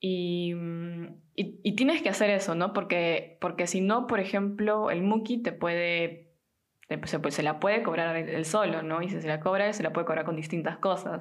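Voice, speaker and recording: There is audible room echo as a woman speaks at a moderate pace. Her voice is fairly low with fairly even intonation. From Peru. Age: 20s. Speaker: podcast host. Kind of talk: casual chat.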